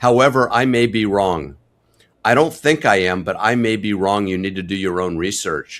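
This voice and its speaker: In a very clean recording with a silent background, a man uses an unremarkable speaking voice, fairly low in pitch, with ordinary pitch variation and a moderate pace. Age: 60s. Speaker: family physician. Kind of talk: interview. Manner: candid, conversational.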